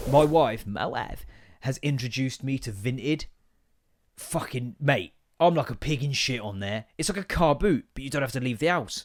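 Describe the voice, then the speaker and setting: With an English accent, a man talks at a moderate pace in a medium pitch with lively intonation. The recording is very clean, with a silent background. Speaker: comedy podcast host. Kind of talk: casual comedic monologue. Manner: loud; animated.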